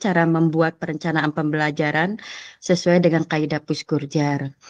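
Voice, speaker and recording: Against a quiet background, a woman with a fairly low pitch talks at a moderate pace, the sound dry and close with no echo. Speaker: teacher. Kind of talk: presentation in online training session.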